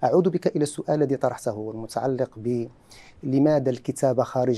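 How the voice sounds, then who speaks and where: The man speaks at a moderate pace with a fairly high pitch. His tone is dark and mellow. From Morocco, Larache; Morocco. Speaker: university researcher; talk show guest. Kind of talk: TV cultural discussion. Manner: formal. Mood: calm, reflective. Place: studio. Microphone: lapel.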